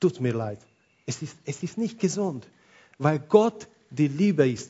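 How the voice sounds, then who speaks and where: In a non-native accent, a man speaks at a very slow pace and fairly high pitch with lively intonation. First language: not German (speaking German). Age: 40s. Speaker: pastor. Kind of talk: sermon.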